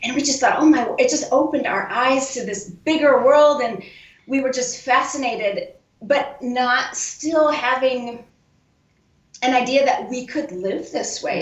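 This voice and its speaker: Audible room echo carries a woman's high voice as she speaks at a moderate pace with a Midwestern accent. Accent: American Midwest. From US Midwest, Iowa. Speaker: guest. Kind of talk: casual interview chat.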